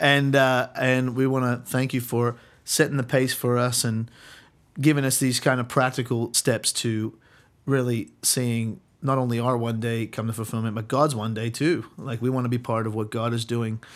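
In a very clean recording with a silent background, a man with an Australian accent speaks at medium pitch and a moderate pace in a monotone, flat intonation. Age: 30s. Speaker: church youth ministry leader and podcast host. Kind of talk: casual interview.

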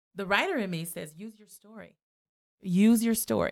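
A woman speaks in a plain, everyday voice at a fairly quick pace with fairly even intonation, recorded very cleanly against a silent background with a dry, close sound and no echo. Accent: American. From US West Coast, South Los Angeles. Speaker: foundation program director and artist. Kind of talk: interview conversation.

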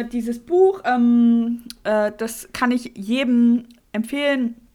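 A woman's high-pitched voice. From Mecklenburg-Vorpommern. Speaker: podcast co-host. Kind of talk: casual chat.

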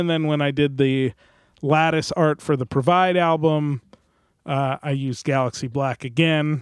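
A man with an American accent has a normal speaking voice at a fairly high pitch. He speaks at a moderate pace with ordinary pitch variation. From New Jersey. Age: 30s. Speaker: musician and recording engineer. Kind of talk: casual chat. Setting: video call.

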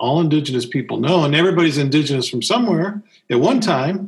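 Lively intonation marks this man's fairly high voice, which carries vocal fry and an American accent. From US South. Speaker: podcast co-host. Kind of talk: casual conversational podcast discussion.

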